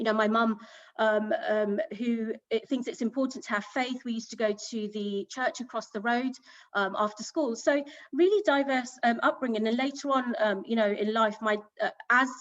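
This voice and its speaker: A woman with a British accent speaks at a moderate pace in a fairly high voice, her pitch varying in an ordinary way. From southern England, Hampshire. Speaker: business executive. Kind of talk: panel talk. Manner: hesitant, many fillers.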